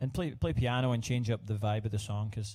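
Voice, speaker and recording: In a Scottish accent, a man with a dark, mellow tone and a fairly low pitch speaks at a fairly quick pace, somewhat breathy and with fairly even intonation, on a very clean recording with a silent background. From Scotland. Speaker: singer-songwriter. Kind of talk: casual live stream chat. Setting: livestream at home. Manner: halting, many fillers.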